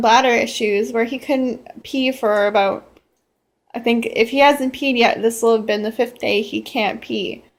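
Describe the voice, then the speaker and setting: A high-pitched woman's voice comes through on a very clean recording with a silent background. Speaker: pet owner vlogger. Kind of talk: personal vlog appeal. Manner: halting, stuttering.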